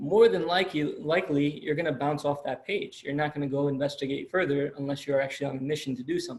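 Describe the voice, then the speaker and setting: Talking at a very fast pace with hardly any pauses, the speaker sounds somewhat breathy and uses ordinary pitch variation. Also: man, fairly high pitch for a man. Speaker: college lecturer. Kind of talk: lecture. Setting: video call.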